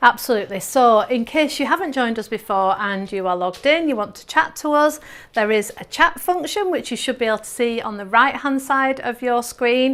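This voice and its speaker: An upbeat woman with an English accent speaks at a fairly quick pace in a high voice, with lively intonation, big swings in loudness and hardly any pauses. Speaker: quilting teacher and presenter. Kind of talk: live webinar presentation. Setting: studio.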